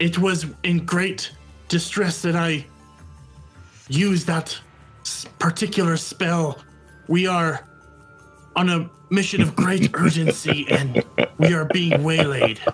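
A put-on character voice speaks at a middle pitch and fairly slow pace, with long, frequent pauses. Faint music plays in the background. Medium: actual play. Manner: formal, earnest.

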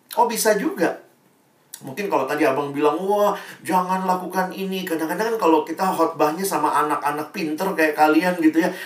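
Amid audible room echo, a man speaks at a fairly quick pace in a high pitch with an animated tone and ordinary pitch variation. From Indonesia, Ambonese family. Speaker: preacher. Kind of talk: sermon. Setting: video call.

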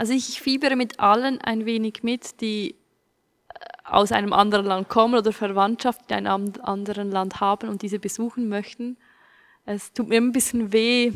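With a normal speaking voice, a woman talks at a moderate pace and keeps her intonation fairly even. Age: 20s. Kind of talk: casual chat.

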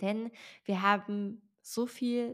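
A woman's medium-pitched voice with fairly even intonation in a very clean recording with a silent background. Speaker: podcast host and author. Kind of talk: solo podcast monologue.

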